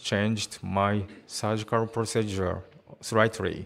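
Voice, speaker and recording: A man with a Japanese accent speaks at a fairly slow pace and a fairly low pitch, with monotone, flat intonation. The recording is very clean, with a silent background. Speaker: spine surgeon. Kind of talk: conference presentation. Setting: conference hall.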